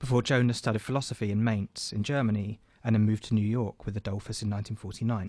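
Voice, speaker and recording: At a very fast pace, a man with a British accent speaks in a fairly low pitch with monotone, flat intonation. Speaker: radio host. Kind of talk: arts discussion. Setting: studio.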